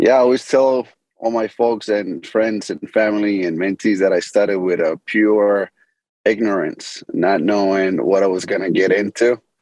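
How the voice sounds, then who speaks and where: A man with an American accent and a plain, everyday voice, fairly low in pitch, at a moderate pace with fairly even intonation, in a dry, close sound with no echo. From Medellin, Colombia; later Boston. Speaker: business founder and CEO. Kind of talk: interview, casual business talk.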